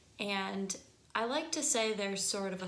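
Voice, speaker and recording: There is audible room echo as a woman with a Michigan accent talks with ordinary pitch variation. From US Midwest, Michigan. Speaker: singing teacher. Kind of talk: tutorial. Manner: casual, conversational.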